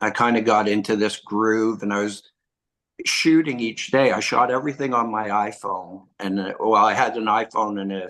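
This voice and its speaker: A man speaks in a plain, everyday voice with a Canadian accent, his pitch fairly low and his intonation fairly even. He talks at a moderate pace against a quiet background. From Quebec, Montreal. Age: 60s. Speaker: filmmaker and author. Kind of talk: interview.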